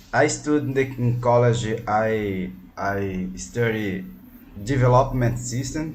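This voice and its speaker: A man speaks very slowly at a medium pitch with a Brazilian Portuguese accent. His pitch varies in an ordinary way, and audible room echo surrounds the voice. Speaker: language student, policeman. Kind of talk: online English lesson. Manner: halting.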